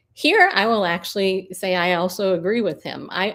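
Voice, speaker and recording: Fairly slow speech with ordinary pitch variation on a very clean recording with a silent background. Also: woman. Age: 50s. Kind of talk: live stream commentary. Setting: live stream. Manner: casual, with frequent fillers.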